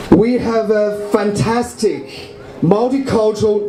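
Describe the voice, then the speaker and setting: A man with a Chinese accent speaks at a high pitch with ordinary pitch variation. Noticeable background noise and audible room echo fill the recording. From China. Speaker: local election candidate. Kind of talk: campaign speech.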